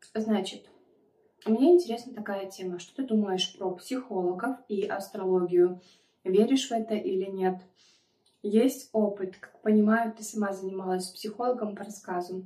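A woman with a dark, mellow tone speaks at a moderate pace, somewhat breathy, with big swings in loudness, ordinary pitch variation and audible room echo. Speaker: mukbang vlogger. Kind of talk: casual vlog chat. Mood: chatty, confiding. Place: home room. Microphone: phone near.

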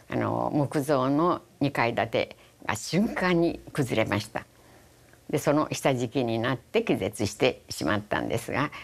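A woman with a Hiroshima accent speaks at a fairly slow pace in a very deep, low pitch with vocal fry. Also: lively intonation. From Japan, Hiroshima; Japan. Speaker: atomic bomb survivor. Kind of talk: testimony. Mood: solemn, reflective. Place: studio. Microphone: lapel.

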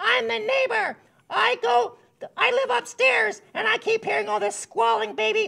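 A cartoonish character voice moves along at a moderate pace. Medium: puppet.

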